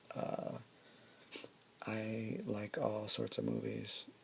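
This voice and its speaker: A man with a very deep, low pitch talks while noticeable noise runs in the background. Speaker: ASMR creator. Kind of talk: ASMR show-and-tell. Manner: soft-spoken.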